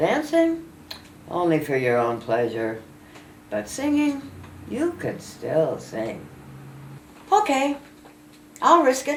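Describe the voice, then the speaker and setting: With audible room echo, a woman talks at a very slow pace with long, frequent pauses. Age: 80s+. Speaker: elderly poet. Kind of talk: reading aloud.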